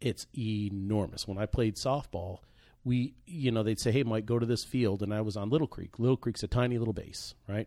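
A man with an American accent and a dark, mellow tone speaks at medium pitch with ordinary variation, recorded very cleanly against a silent background. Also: moderate pace. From Virginia Beach, Virginia (from teens). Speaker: podcast co-host, mortgage lender. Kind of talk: casual chat.

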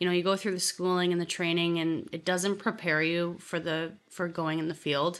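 A woman with a Canadian accent has an unremarkable speaking voice at a fairly low pitch. She moves at a fairly quick pace over a quiet background. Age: 20s. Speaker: real estate agent. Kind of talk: interview.

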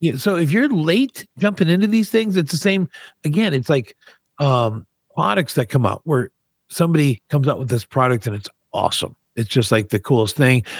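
A man talks at a fairly high pitch with very wide pitch swings. His voice is somewhat breathy, and the sound is dry and close with no echo. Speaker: podcast co-host. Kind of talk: radio DJ patter, teasing upcoming segments. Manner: punchy, rapid-fire, teaser-style delivery; bantering.

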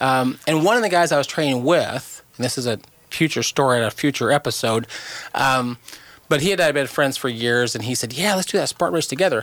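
Fairly high for a man, his pitch moves in lively intonation in a normal speaking voice. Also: fairly quick pace. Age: 50s. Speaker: cancer charity co-founder. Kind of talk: casual chat.

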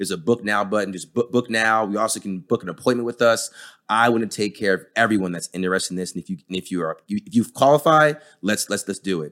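With an American accent, a man speaks at a very fast pace in a fairly low voice. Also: ordinary pitch variation. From New Jersey, US. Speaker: pain and sports physician. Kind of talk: podcast interview.

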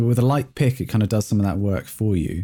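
In an English accent, a man speaks at a fairly low pitch with a dark, mellow tone, recorded very cleanly against a silent background. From England. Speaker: bassist and record producer. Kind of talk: casual interview chat.

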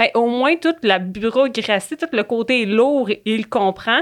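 A plain, everyday voice from a woman, moderately paced, its pitch varying in an ordinary way. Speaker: public servant, union youth committee member. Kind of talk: casual chat.

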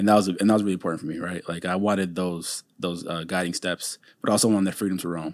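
Over a silent background in a very clean recording, a man with an American accent and a very deep, low pitch talks very fast with fairly even intonation and hardly any pauses. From Minnesota, Saint Paul. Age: 30s. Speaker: franchise business owner. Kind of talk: interview.

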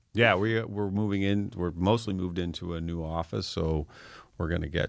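The recording is very clean with a silent background. On it, a man talks at a moderate pace. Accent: Canadian. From Atlantic Canada. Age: 50s. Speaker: tech company founder. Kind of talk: interview.

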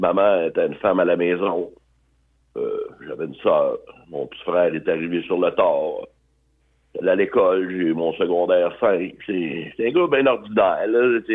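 A man talks fairly slowly, stopping often for long pauses. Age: 60s. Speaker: biker and charity fundraiser. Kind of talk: casual interview, personal life story.

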